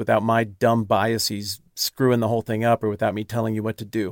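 In a very clean recording with a silent background and a dry, close sound without echo, a man talks fairly quickly at a medium pitch in a flat monotone. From Wyoming. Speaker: religion podcaster and YouTuber. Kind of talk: casual chat.

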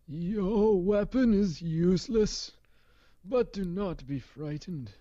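A put-on character voice delivers lines at a middle pitch and a fairly slow pace. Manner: reassuring, otherworldly.

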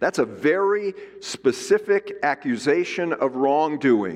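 Loud and fairly high-pitched, a man speaks with very wide pitch swings. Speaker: Bible teacher. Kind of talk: lecture.

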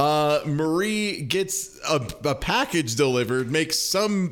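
Against noticeable background noise, a man speaks at a fairly high pitch with lively intonation. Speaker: podcast host. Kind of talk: casual chat, podcast discussion.

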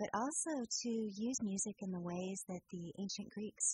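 A woman's somewhat breathy voice has a dark, mellow tone. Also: dry, close sound with no echo. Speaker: music historian and pre-concert lecturer. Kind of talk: radio interview. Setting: studio.

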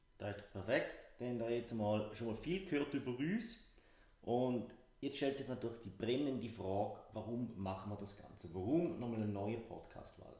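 Audible room echo surrounds a man's dark, mellow, somewhat breathy voice. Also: medium pitch for a man, ordinary pitch variation, moderate pace. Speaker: business consultant and podcast co-host. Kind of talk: casual podcast chat.

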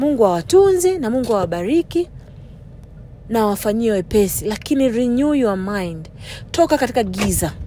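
The delivery has an animated tone and very wide pitch swings at a moderate pace. Noticeable background noise can be heard. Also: woman, fairly high pitch for a woman. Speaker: preacher. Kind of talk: sermon. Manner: animated, urgent exhortation; fervent, commanding preaching delivery.

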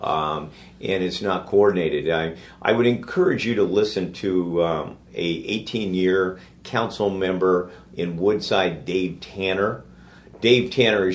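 A man speaks at a moderate pace with a very deep, low pitch. His intonation stays fairly even. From San Francisco. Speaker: podcast interviewer. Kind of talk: interview.

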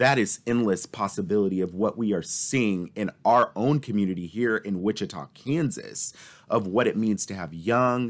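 On a very clean recording with a silent background, a man speaks at a fairly slow pace. His fairly low voice is a plain, everyday voice with lively intonation. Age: 20s. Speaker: nonprofit executive. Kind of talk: interview conversation.

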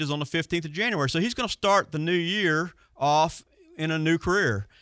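A bright, sharp tone at a moderate pace, with ordinary pitch variation and a dry, close sound with no echo. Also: man. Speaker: marine service instructor and show expert. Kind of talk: call-in radio show chat. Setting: radio studio.

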